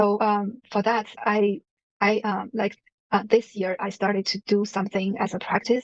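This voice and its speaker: The woman talks in a monotone with flat intonation. The sound is dry and close, with no echo. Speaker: person who stutters, manager. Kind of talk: interview testimony. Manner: halting, many fillers.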